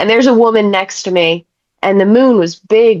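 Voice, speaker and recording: In an unremarkable speaking voice, the speaker moves at a moderate pace with lively intonation, the sound dry and close with no echo. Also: woman. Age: 30s. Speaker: psychic medium and animal communicator. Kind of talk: casual chat.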